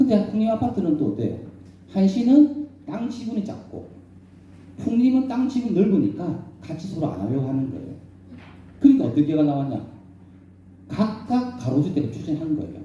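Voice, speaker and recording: With audible room echo, a man at a high pitch speaks at a moderate pace, his pitch swinging very widely between long, frequent pauses. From South Korea, Busan. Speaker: professor and redevelopment consultant. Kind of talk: lecture. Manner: animated, rhetorical questions.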